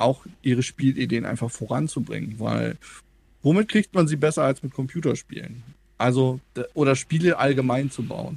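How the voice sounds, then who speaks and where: A man with an unremarkable speaking voice talks at a moderate pace and medium pitch, with ordinary pitch variation, in a very clean recording over a silent background. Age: 30s. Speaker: game developer and media education worker. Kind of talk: casual interview.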